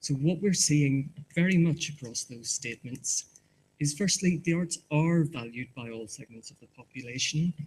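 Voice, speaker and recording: A man speaks in a Northern Irish accent at a moderate pace. His voice is somewhat breathy. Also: fairly high pitch for a man, ordinary pitch variation, big swings in loudness. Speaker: market research presenter. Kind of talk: conference presentation. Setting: conference hall with audience. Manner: halting, repeats words.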